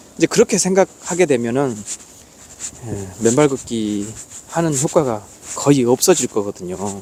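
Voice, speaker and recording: A man talks at a medium pitch and a fairly slow pace, with very wide pitch swings. There are long, frequent pauses and noticeable background noise. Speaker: barefoot walking vlogger. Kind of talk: casual vlog monologue. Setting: outdoors on a mountain trail. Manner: animated.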